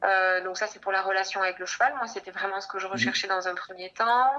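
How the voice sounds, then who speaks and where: A woman speaks in a bright, sharp tone. Her pitch sits in the medium range. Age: 30s. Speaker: nurse and horseback traveler. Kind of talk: casual interview.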